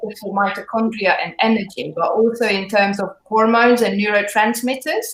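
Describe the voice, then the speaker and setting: A woman's fairly high voice with a slight British accent, fairly even intonation and a moderate pace. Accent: slight British accent picked up. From Hungary. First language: Hungarian. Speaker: fitness trainer. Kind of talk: live interview.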